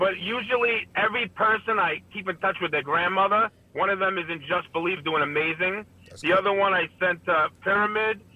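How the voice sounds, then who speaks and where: A man talks fairly quickly in a high pitch with a Brooklyn accent. There is noticeable background noise. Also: ordinary pitch variation. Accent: New York (Brooklyn). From Brooklyn, New York. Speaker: addiction outreach worker. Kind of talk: casual chat.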